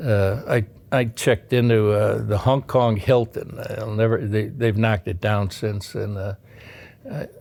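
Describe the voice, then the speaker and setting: A man's fairly low-pitched voice with an American accent and fairly even intonation, in a very clean recording with a silent background. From Chicago, US Midwest. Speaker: retired navy submarine officer. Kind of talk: oral history interview. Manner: halting, many fillers.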